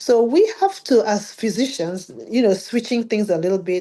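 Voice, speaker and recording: Lively intonation marks this woman's dark, mellow tone. The background is quiet. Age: 60s. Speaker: physician and health coach. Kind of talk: interview conversation.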